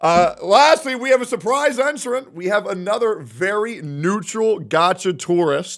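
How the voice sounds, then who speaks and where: Here a man speaks in an animated tone at a fairly slow pace with hardly any pauses. His voice is high for a man and moves in very wide pitch swings. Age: 30s. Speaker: streamer and podcast host. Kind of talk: casual chat.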